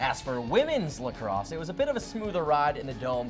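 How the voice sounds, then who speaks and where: A man speaks in an energetic, upbeat tone with very wide pitch swings. Music plays in the background. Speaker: college sports news anchor. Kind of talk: broadcast sports anchor delivery. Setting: studio. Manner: energetic, fast, upbeat.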